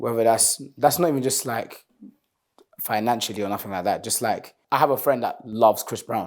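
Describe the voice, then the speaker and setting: A man with a plain, everyday voice talks at a moderate pace and medium pitch with ordinary pitch variation. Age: 20s. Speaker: singer and rapper. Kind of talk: interview. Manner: casual, relaxed.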